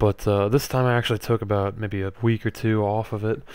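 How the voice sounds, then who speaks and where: A quiet voice with monotone, flat intonation comes through on a very clean recording with a silent background. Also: man. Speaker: gaming commentator. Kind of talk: gameplay commentary. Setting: at home late at night. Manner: quiet, low-volume speaking; hesitant, many fillers.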